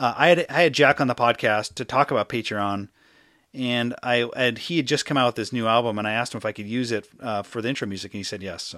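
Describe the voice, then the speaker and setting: A man mumbling at a very fast pace, medium pitch, bright and sharp tone, with ordinary pitch variation. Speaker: podcast host and writer. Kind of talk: casual interview chat. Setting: remote interview from Seattle. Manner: fast talker, mumbler.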